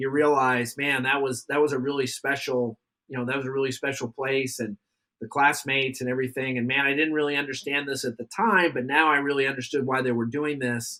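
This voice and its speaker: Using fairly even intonation, a man of medium pitch speaks at a fairly quick pace in a bright, sharp tone. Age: 60s. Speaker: naval academy alumnus and adjunct professor. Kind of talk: podcast interview. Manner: halting, many repeated words.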